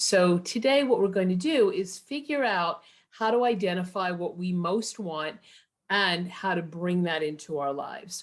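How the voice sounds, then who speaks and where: A woman with an unremarkable speaking voice talks at a medium pitch and a fairly slow pace. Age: 60s. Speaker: workshop leader. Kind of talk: online workshop.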